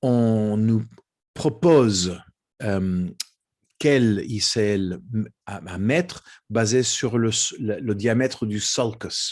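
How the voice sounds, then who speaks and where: The voice has a non-native accent and a very slow pace with long, frequent pauses. Pitch variation is ordinary, and the background is quiet. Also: man, medium pitch for a man. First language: not French (speaking French). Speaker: ophthalmology professor. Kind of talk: lecture. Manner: halting.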